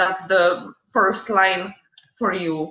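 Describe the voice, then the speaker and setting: In a non-native accent, a woman speaks at medium pitch with monotone, flat intonation. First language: not English. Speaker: student mentor. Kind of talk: orientation talk. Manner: halting.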